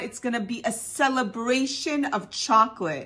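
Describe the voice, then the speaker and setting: Her voice high in pitch, a woman speaks in an animated tone at a fairly slow pace. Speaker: home cooking video host. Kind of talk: cooking tutorial; casual vlog chat. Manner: whispering.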